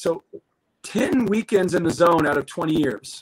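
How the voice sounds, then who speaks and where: A man speaks with a fairly high pitch and ordinary pitch variation. The background is quiet. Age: 50s. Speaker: former Olympic swimmer; swimming commentator guest. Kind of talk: live sports commentary chat. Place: home room. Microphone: webcam.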